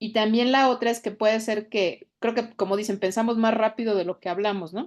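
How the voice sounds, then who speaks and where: A woman's fairly high voice, fairly quick and fairly even in intonation, against a quiet background. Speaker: podcast panelist. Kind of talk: casual chat. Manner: fast.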